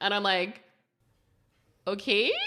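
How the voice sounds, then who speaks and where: A bright, sharp tone in a Southern California accent on a very clean recording with a silent background. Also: woman. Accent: Valley Girl. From Canada. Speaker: tattoo artist, podcast host. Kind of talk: casual chat. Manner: fast; bubbly, chatty.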